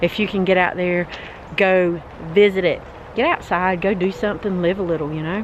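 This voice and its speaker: There is noticeable background noise as a woman with an American accent talks at a moderate pace. Her pitch is medium, with ordinary variation. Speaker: travel vlogger. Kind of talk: casual vlog walkthrough. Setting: outdoors. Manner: animated.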